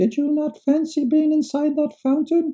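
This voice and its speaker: A put-on character voice at a moderate pace. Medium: read story.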